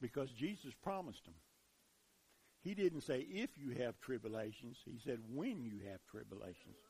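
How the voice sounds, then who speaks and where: Somewhat breathy and dark, mellow in tone, a man at medium pitch speaks at a moderate pace with very wide pitch swings and big swings in loudness. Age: 60s. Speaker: preacher. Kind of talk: sermon. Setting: church.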